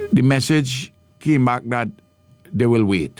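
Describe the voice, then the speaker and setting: A man talks at a fairly slow pace. There is music in the background. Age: 80s+. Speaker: radio host. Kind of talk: casual chat.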